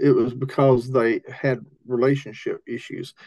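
A man speaks with a fairly high pitch. His pace is fairly slow. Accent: Appalachian. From US South, Appalachian Tennessee. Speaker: rural ministry leader, missions strategist. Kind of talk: interview.

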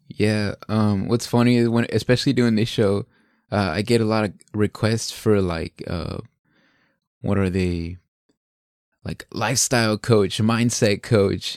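A man's fairly low voice, fairly even in intonation and fairly slow, with long, frequent pauses, dry and close with no echo, against a quiet background. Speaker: podcast host. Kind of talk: interview conversation.

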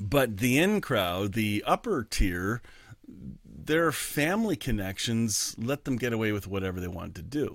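With lively intonation, a man talks at a medium pitch and a moderate pace. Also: very clean recording, silent background. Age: 50s. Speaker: pastor. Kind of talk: sermon. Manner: halting.

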